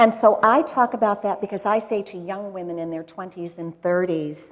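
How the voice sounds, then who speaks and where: The speaker has an ordinary speaking voice with ordinary pitch variation. Loudness swings widely, and the pace is moderate. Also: woman, medium pitch for a woman. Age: 60s. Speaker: journalist. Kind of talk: casual chat. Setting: stage with audience.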